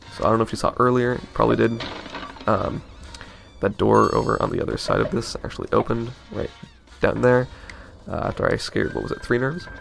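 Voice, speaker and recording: Over background music, a man talks at a very fast pace, broken by long, frequent pauses. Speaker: let's play gamer. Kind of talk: casual gameplay commentary.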